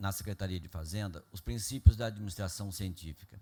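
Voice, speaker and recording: With a dark, mellow tone and a somewhat breathy quality, a man speaks at a fairly low pitch with ordinary pitch variation. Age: 70s. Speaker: public finance official. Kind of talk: public meeting presentation. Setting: council meeting with audience. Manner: formal.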